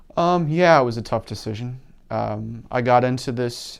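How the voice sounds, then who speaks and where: This man speaks with an Upper Midwest accent. His pitch sits at a medium level. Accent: Upper Midwest American. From Wisconsin, La Crosse area. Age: 30s. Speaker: university events staff. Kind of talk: interview. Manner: halting, frequent fillers.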